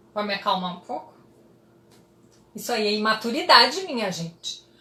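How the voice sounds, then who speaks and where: A woman's animated tone at a moderate pace, with noticeable background noise. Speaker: psychologist. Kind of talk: live stream talk to audience. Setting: Instagram live.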